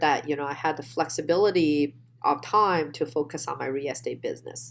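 A woman with a very deep, low pitch and a Chinese accent speaks at a moderate pace with ordinary pitch variation, in a very clean recording with a silent background. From China. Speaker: real estate investor guest.

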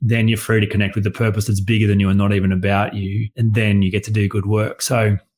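Very fast, somewhat breathy speech in an Australian accent, with monotone, flat intonation, on a very clean recording with a silent background. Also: man. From rural Australia. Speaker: coach and workshop facilitator. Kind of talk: casual interview conversation. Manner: plain-spoken, concise.

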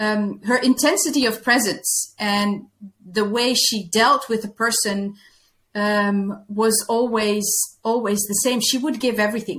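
A woman with a Dutch accent speaks at a fairly slow pace. Her pitch is fairly high, with ordinary variation. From Netherlands. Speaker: former nun, workplace reintegration coach. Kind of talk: interview conversation. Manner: halting.

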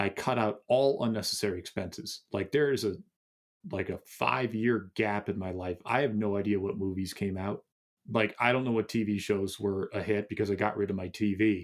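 This man, with a fairly low pitch and a normal speaking voice, talks at a fairly quick pace. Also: ordinary pitch variation. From US Northeast (Massachusetts suburb). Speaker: author and meditation teacher. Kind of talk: interview.

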